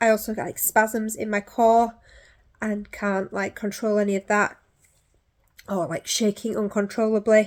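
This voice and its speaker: Recorded very cleanly over a silent background, a woman speaks in a fairly high pitch with a monotone, flat intonation and long, frequent pauses. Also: fairly slow pace. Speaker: person living with a neurological disorder. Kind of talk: testimony. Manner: halting, many fillers.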